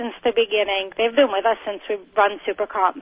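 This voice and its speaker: A woman with an American accent at a moderate pace. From New York, Long Island. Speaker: drag racer. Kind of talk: radio interview.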